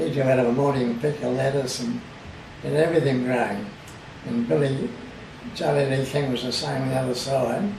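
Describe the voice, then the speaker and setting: Fairly quick speech in an Australian accent, with long, frequent pauses, ordinary pitch variation, audible room echo and noticeable background noise. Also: man, medium pitch for a man. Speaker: oral history interviewee. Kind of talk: oral history interview.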